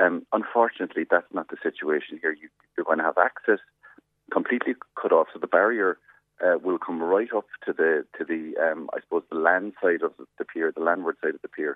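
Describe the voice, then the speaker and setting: A man with a Cork accent talks at a fairly quick pace. His loudness swings widely. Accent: Cork Irish. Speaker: politician. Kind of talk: radio interview.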